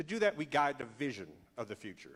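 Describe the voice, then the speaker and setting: Talking at a moderate pace, a man shows vocal fry and very wide pitch swings. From Georgia, Atlanta area. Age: 50s. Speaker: political candidate. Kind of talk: campaign speech at debate.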